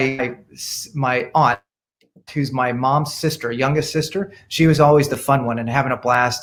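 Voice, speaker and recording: This man's voice sits fairly high in pitch. It is somewhat breathy. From India, emigrated to US as a child in the 1970s. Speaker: dermatologist. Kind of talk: interview. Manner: animated.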